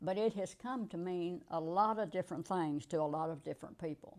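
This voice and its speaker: A woman speaks in a plain, everyday voice with an American accent, her pitch fairly low. Her pace is moderate and her pitch variation ordinary. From rural US. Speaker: interviewee, retired manager. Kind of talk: interview.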